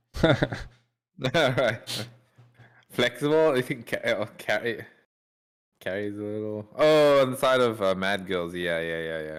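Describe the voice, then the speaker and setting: Lively intonation marks a man's medium-pitched voice. He goes at a fairly slow pace with long, frequent pauses. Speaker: esports caster. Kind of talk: live commentary. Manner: halting.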